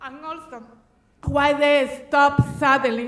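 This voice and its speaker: With a Dominican accent, a woman speaks at a high pitch in a monotone, flat intonation, with audible room echo. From Dominican Republic. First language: Spanish. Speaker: resident speaking at public comment. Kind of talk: public comment testimony. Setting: city council chamber. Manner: halting.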